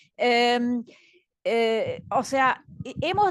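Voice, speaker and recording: A woman speaks with a Belgian accent. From Belgium. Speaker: education director, panelist. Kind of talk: panel talk. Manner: hesitant, many fillers.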